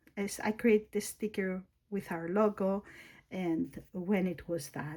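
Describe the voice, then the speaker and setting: The voice has a dark, mellow tone and a Greek accent. It moves at a very slow pace with fairly even intonation. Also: woman, medium pitch for a woman. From Greece. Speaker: planner YouTuber. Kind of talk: casual tutorial. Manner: halting, with fillers and self-corrections.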